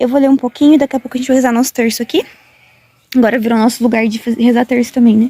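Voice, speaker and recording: A woman's high-pitched, monotone, flat voice at a very fast pace, with a dry, close sound and no echo. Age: 20s. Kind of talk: casual vlog talk to camera.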